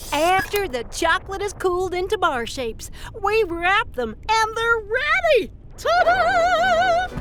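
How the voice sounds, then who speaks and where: A cartoonish character voice, extremely high-pitched, at a fairly slow pace over clear background noise. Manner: cheerful, friendly.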